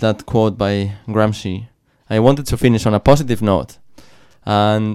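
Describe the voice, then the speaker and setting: Speaking at a moderate pace, a man uses a plain, everyday voice with fairly low pitch and fairly even intonation. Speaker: community radio host. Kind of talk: radio interview. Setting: radio studio.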